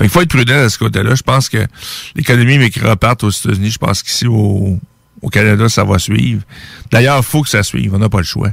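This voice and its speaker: Very fast speech with vocal fry and ordinary pitch variation, in a Quebec accent, with a dry, close sound and no echo. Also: man, fairly low pitch for a man. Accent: Québécois French. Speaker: radio host. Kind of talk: commentary monologue.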